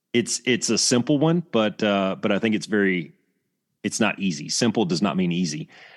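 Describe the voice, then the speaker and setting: With an Alabama accent, a man speaks at a moderate pace and fairly low pitch against a quiet background. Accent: Southern US (Alabama). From US South, Alabama. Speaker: retired Air Force fighter pilot instructor. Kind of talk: casual interview.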